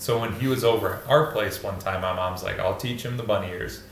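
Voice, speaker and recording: Noticeable background noise and audible room echo surround this man. He talks at a fairly quick pace with a fairly low pitch. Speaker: podcast host. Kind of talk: casual chat.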